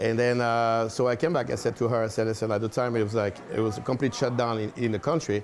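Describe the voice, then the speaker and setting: A man with a French accent speaks very fast with hardly any pauses, at a medium pitch. His loudness stays very even and his intonation fairly even. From France. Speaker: restaurant owner. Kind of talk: interview. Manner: halting, many fillers.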